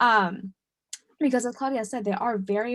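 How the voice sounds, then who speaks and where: Somewhat breathy female speech with fairly even intonation. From US, Dominican family. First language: Spanish. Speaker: webinar presenter. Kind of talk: webinar presentation. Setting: online webinar. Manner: hesitant, many fillers.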